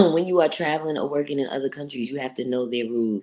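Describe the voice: A woman talks at a fast pace. Her pitch is extremely low. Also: ordinary pitch variation.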